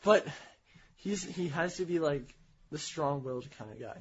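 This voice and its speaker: With an American accent, a man talks in a high pitch and lively intonation. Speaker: podcast co-host. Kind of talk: casual chat.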